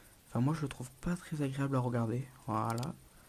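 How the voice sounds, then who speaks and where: Soft-spoken and somewhat breathy, a man talks at a moderate pace with a dark, mellow tone and ordinary pitch variation. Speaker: gaming youtuber. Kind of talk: gameplay commentary. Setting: at home late at night. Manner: hesitant.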